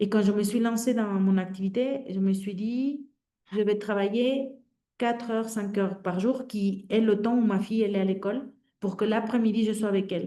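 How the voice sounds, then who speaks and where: A woman with a Mexican accent, fairly high in pitch with a dark, mellow tone, fairly even intonation and a moderate pace, in audible room echo. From Mexico. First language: Spanish (speaking French). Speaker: career transition coach. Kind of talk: webinar talk. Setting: online webinar. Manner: hesitant, many fillers.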